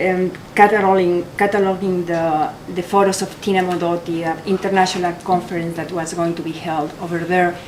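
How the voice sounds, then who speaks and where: A woman's fairly low, monotone voice with a strong Mexican accent, delivered at a fairly quick pace over noticeable background noise. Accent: heavy Mexican Spanish. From Mexico. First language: Spanish. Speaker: photographer. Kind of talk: artist talk. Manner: halting.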